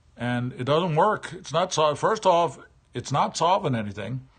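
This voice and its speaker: A man speaks at a fairly quick pace and a fairly high pitch. His voice is somewhat breathy, with lively intonation. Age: 60s. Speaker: livestreamer. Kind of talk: casual monologue. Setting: live stream. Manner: halting.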